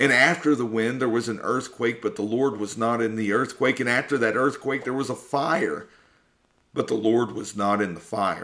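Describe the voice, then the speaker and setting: On a very clean recording with a silent background, a man speaks at a moderate pace and medium pitch, his bright, sharp tone held to fairly even intonation. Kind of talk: sermon-like testimony talk. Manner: earnest, preaching.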